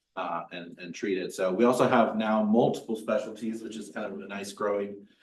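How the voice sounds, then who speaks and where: There is audible room echo as a man talks at a fairly quick pace with fairly even intonation. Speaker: trauma surgeon. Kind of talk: lecture. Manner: loud.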